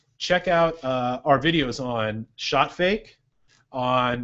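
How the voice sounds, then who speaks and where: With a Californian accent, a man speaks at medium pitch using lively intonation. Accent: Californian American. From Santa Cruz, California, US. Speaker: basketball coach and show host. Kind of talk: casual Q&A show. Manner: fast.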